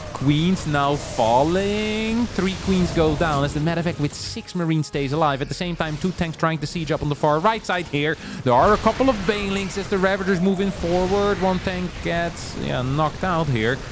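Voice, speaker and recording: A man with a non-native accent speaks in a high voice, barely pausing, while music plays in the background. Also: ordinary pitch variation, moderate pace. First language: not English. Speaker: esports caster. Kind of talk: live commentary. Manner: animated.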